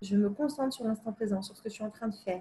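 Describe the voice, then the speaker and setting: Her voice has a dark, mellow tone and a fairly high pitch, and the woman uses ordinary pitch variation. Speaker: psychology coach. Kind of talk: talking-head advice video. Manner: fast; hesitant with fillers.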